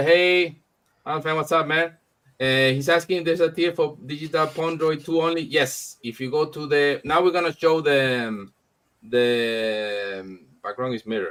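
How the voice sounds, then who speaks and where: A man with a Spanish accent speaks in a fairly high voice. His pace is moderate and his pitch variation ordinary. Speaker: comic publisher hosting launch event. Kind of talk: live stream chat. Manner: halting.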